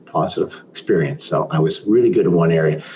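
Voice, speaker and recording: There is noticeable background noise. A man speaks in a Canadian accent. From Canada, Toronto. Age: 60s. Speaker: business consultant and mentor. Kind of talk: interview.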